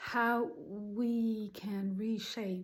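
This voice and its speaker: Somewhat breathy, this woman's voice sits at a medium pitch with fairly even intonation. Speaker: spiritual channel host. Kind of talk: casual spiritual talk to camera. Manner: hesitant, many ums.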